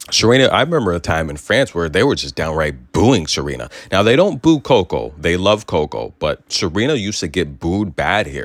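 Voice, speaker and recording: An animated man's fairly low voice with vocal fry, very wide pitch swings and a fairly quick pace. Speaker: sports commentary host. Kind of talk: sports news commentary.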